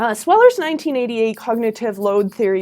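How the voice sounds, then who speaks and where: A woman talks in a fairly high pitch that shows ordinary pitch variation. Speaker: university lecturer. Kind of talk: educational talk. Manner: animated.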